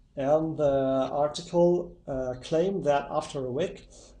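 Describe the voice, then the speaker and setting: Audible room echo surrounds a man with a fairly high pitch and a dark, mellow tone. He shows ordinary pitch variation. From Italy. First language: Italian. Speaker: YouTuber testing myths. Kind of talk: casual video intro. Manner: hesitant.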